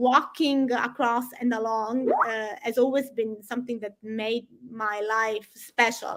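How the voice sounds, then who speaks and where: Speaking with a Sicilian accent, a woman keeps a fairly high pitch and fairly even intonation. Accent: Italian (Sicilian) accent in English. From Sicily, southern Italy. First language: Italian. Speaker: environmental campaigner. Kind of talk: interview. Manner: halting, many repetitions and fillers.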